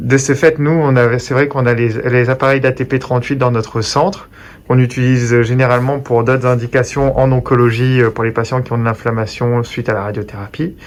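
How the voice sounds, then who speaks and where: A man's medium-pitched voice stays monotone and flat in intonation as he talks at a moderate pace. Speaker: oncologist. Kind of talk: interview questions.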